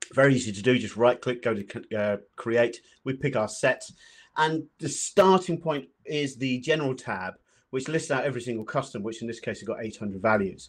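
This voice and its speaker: A man with a British accent, fairly quick pace and ordinary pitch variation. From UK. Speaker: data analytics presenter; presenter. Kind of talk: software tutorial presentation. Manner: fast. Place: home room.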